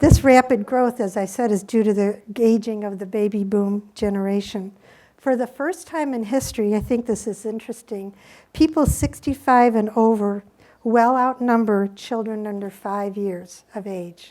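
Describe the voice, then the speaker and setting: At a moderate pace, a dark, mellow tone with ordinary pitch variation comes through on a very clean recording with a silent background. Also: woman, fairly high pitch for a woman. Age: 60s. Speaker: hospice nurse. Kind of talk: conference talk.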